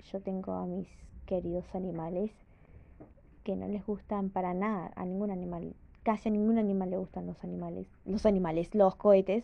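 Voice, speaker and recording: The woman talks at a moderate pace with flat, monotone intonation. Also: medium pitch for a woman. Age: 20s. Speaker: podcaster. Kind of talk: casual monologue. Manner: halting.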